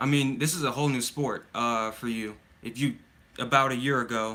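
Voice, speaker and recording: Over a very clean recording with a silent background, a man with an American accent talks at a medium pitch in a bright, sharp tone with fairly even intonation. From mixed: US military child, raised mainly in Germany. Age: young. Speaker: soccer coach. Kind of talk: live stream Q&A. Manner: casual, halting.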